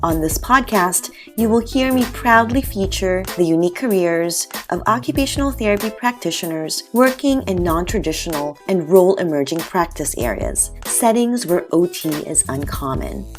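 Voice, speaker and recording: Music plays in the background as a woman speaks with an American accent. She hardly pauses at all. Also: moderate pace. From New York. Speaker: occupational therapist, podcast host. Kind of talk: podcast intro.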